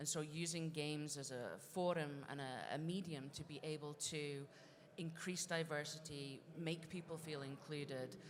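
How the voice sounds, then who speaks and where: In a Scottish accent, a woman speaks with a very deep, low pitch and fairly even intonation. Her moderate pace carries audible room echo. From Scotland. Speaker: games industry director and researcher. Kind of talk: conference panel discussion. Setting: stage with audience.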